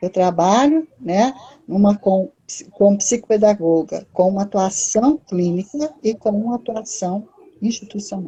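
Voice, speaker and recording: At a fairly slow pace, this is a plain, everyday voice. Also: woman, medium pitch for a woman, ordinary pitch variation. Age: 60s. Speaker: psychologist and educational psychology lecturer. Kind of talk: live-stream talk. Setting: online live stream.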